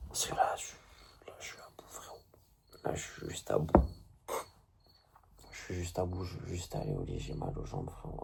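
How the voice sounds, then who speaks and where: A man whispers at a moderate pace while noticeable background noise is audible. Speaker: video blogger. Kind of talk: casual monologue to camera. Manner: halting.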